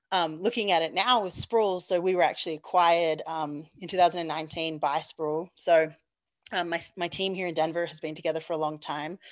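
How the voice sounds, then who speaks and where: Over a quiet background, a woman with an Australian accent speaks fast-ish and fairly low-pitched, her intonation fairly even. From Australia, Perth. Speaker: petroleum engineer. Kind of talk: interview.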